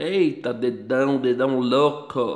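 A man with a Brazilian accent and ordinary pitch variation. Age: 30s. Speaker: gaming YouTuber. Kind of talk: gameplay commentary. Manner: casual.

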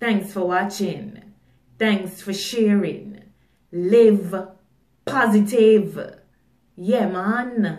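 A woman at a very slow pace in monotone, flat intonation, with long, frequent pauses, audible room echo and a quiet background. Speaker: poet and motivational video creator. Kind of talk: poem performed, spoken-word style with repeated 'I need all' lines. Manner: emphatic, rhythmic, declarative; deliberate, motivational, insistent. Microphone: phone near.

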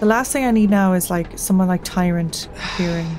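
A woman talks at a moderate pace with a medium pitch and ordinary pitch variation. Light background noise is present. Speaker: gaming channel host; gaming streamer. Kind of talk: let's play commentary. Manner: casual, chill. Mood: stressed, pleading, tense. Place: home room.

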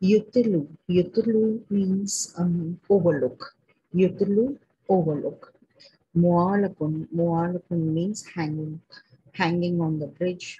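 A woman with an Indian accent, fairly low pitch and ordinary pitch variation, somewhat breathy and dark, mellow in tone, at a very slow pace with long, frequent pauses. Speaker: Arabic teacher. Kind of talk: vocabulary lesson. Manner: hesitant, many fillers.

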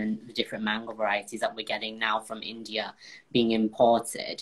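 A man talks rather quickly with a quiet background behind him. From northern England, Bolton; northern England. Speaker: baker and former cooking contestant; guest. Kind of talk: casual interview. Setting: live video call. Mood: relaxed, thoughtful. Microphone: video call.

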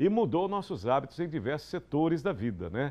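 Very wide pitch swings run through a man's fairly high-pitched speech. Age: 50s. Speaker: TV news host. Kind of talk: studio commentary on TV news. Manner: animated. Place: studio. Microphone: lapel.

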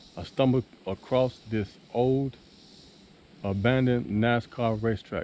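A man speaks with ordinary pitch variation. The sound is dry with no echo, with light background noise. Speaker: explorer vlogger. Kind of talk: casual vlog chat. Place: forest. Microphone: phone near.

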